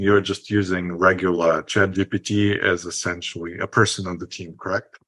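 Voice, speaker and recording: A man with a non-native accent speaks at a moderate pace. His voice is fairly low in pitch with a bright, sharp tone. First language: not English. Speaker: podcast host, marketer. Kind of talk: casual interview.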